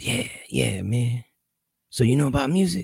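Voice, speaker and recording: A man's raspy put-on character voice at medium pitch, fairly slow, with lively intonation. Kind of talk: casual, bro-like.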